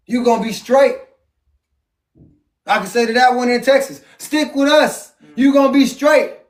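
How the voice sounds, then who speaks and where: A man speaks loudly and passionately at an extremely high pitch and a moderate pace. His intonation is fairly even, broken by long, frequent pauses. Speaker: Bible study leader. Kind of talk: family Bible reading and preaching. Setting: at home with family. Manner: loud, passionate.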